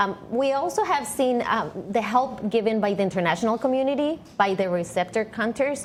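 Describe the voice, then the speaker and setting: An unremarkable speaking voice from a woman moves at a moderate pace with ordinary pitch variation. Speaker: news correspondent. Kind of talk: live news report answering anchor questions.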